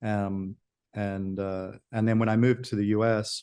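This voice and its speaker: In an Australian accent, a man speaks at a moderate pace with a fairly low pitch, a dark, mellow tone and monotone, flat intonation over a quiet background. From Australia (Sydney). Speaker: auction company founder. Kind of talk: interview. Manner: halting.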